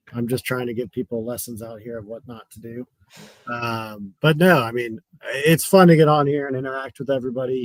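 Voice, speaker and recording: A man talks at a fairly quick pace in a medium pitch. The sound is dry and close, with no echo. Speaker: fantasy sports player. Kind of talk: casual chat. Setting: video call. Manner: monotone.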